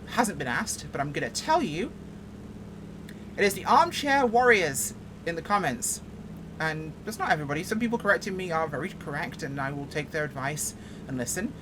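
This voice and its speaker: A woman with a fairly low pitch talks at a fairly quick pace, her pitch swinging very widely, with long, frequent pauses and audible room echo. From England, Yorkshire. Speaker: flight sim streamer. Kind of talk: casual gameplay commentary. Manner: animated.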